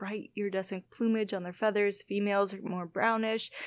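A woman speaks in an American accent at a medium pitch. The recording is very clean with a silent background. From northern Illinois, Wisconsin border. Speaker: biology lecturer and butterfly researcher. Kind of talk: casual interview. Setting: in person in her lab.

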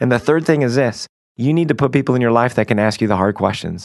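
A man talks at a medium pitch with ordinary pitch variation. It is an ordinary speaking voice. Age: 30s. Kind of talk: faith talk show discussion.

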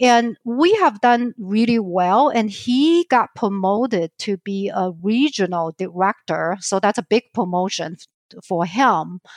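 Fairly slow speech in a Chinese accent, with a dry, close sound and no echo. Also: woman, medium pitch for a woman, very clean recording, silent background. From southern China. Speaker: financial advisor. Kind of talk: interview.

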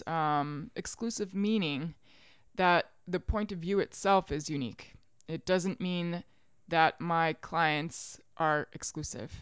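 Speaking very slowly with an American accent, a woman uses a fairly low pitch with ordinary pitch variation. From US South, Richmond, Virginia. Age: 30s. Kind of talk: casual chat.

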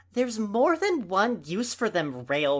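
A plain read-aloud of text

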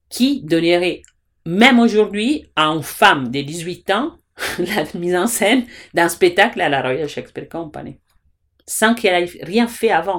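A woman with an Italian accent talks at a fairly slow pace with a fairly low pitch and lively intonation, on a very clean recording with a silent background. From Italy. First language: Italian (speaking French). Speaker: theatre director and teacher. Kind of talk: interview. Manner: halting.

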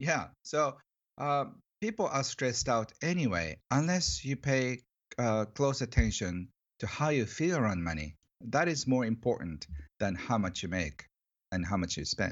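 A man with a Japanese accent speaks at medium pitch and a moderate pace, his pitch swinging very widely. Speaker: author on money. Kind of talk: interview. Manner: halting, many fillers; cheerful, excited.

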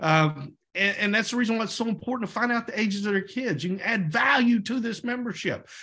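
Raised and projected, a man's voice with an American accent runs at a very fast pace with hardly any pauses, high in pitch with ordinary variation and a bright, sharp tone. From Oklahoma. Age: 40s. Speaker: network marketing team leader. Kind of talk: sales team training call. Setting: conference call.

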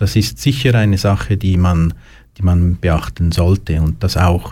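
With very wide pitch swings, a man speaks at a fairly slow pace in a very deep, low pitch, his tone dark, mellow and somewhat breathy. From Switzerland, Lucerne. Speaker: youth emotional support worker. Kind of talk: interview. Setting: studio.

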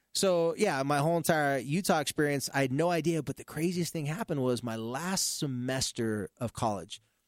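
With an American accent and a normal speaking voice, a man at fairly high pitch talks at a moderate pace with lively intonation and hardly any pauses, the sound dry and close with no echo in a very clean recording over a silent background. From Southern California. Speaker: radio host and youth counselor. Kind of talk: casual podcast interview.

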